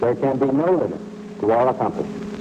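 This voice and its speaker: A man talks at a very fast pace with very wide swings in pitch. Background noise is noticeable. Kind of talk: vintage civil defense announcement read. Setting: old-time radio broadcast. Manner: formal, grave, authoritative.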